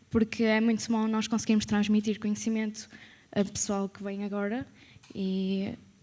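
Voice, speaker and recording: Somewhat breathy and medium in pitch, a woman's voice moves at a moderate pace with monotone, flat intonation. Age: 20s. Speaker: former student, accountant. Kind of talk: testimony at event.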